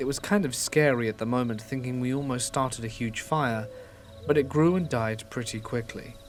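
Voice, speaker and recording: A man's voice sits at a medium pitch. Music plays behind him. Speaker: horror story narrator. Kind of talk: scary story reading.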